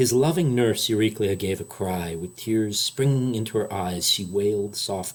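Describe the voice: What we hear is plain reading aloud.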